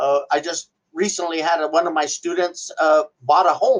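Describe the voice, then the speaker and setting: Speaking with an American accent in an ordinary speaking voice, a man with a fairly high pitch and ordinary pitch variation keeps a moderate pace. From US Southwest, Gallup, New Mexico. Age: 60s. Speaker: welding instructor. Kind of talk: interview testimony.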